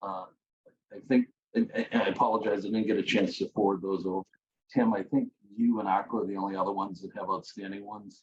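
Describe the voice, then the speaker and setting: This man talks at a very fast pace. His words come out as mumbling. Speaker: committee chair. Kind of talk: public meeting. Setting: video call.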